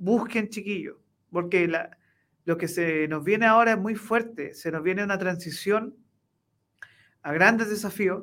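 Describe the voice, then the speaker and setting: A high-pitched man at a fairly slow pace, with long, frequent pauses and ordinary pitch variation, in a very clean recording with a silent background. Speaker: co-host and lecturer. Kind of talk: interview. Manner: hesitant, many fillers.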